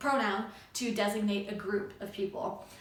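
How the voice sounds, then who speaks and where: Audible room echo and noticeable background noise surround a woman as she talks. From Canada, Montreal (Anglophone area). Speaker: YouTuber, feminist commentator, flutist. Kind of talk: casual vlog talk. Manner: many fillers (um, uh).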